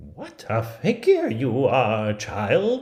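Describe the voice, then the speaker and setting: A man's medium-pitched voice with vocal fry. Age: 50s. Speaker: theatre artist. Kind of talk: read fairy tale.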